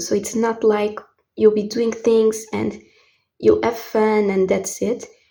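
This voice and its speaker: A woman's dark, mellow tone at a fairly high pitch, monotone and flat in intonation, at a moderate pace. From Portugal. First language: Portuguese. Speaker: tarot reader. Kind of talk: tarot reading.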